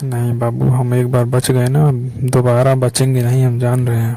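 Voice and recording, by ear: A man speaks at a moderate pace and a medium pitch. His tone is dark and mellow, his intonation monotone and flat.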